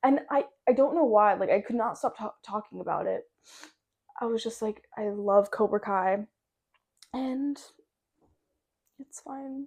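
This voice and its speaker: A woman with an American accent and a fairly high pitch talks at a fairly slow pace with long, frequent pauses. Her pitch variation is ordinary, her loudness swings widely, and the recording is very clean with a silent background. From US Pacific Northwest, Washington. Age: 20s. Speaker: podcaster. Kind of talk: casual chat. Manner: words jumbled together.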